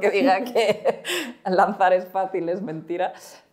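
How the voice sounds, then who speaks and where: Her pitch medium and its variation ordinary, a woman talks. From Spain. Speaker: startup co-founder; guest. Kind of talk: interview. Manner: halting. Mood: friendly, smiling. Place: studio. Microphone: lapel.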